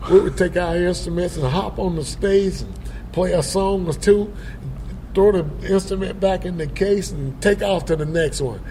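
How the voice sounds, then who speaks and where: Speaking at a moderate pace, a man with a South Carolina accent has a high pitch and fairly even intonation. Noticeable background noise and audible room echo are present. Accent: Southern US, South Carolina. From US South, Upstate South Carolina. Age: 70s. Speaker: blues musician. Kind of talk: interview. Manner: halting, many fillers.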